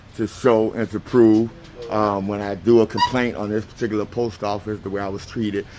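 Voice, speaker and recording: A man's medium-pitched voice at a fairly quick pace, monotone and flat, over noticeable background noise. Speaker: first amendment auditor. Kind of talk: explaining to camera; argument with police. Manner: loud.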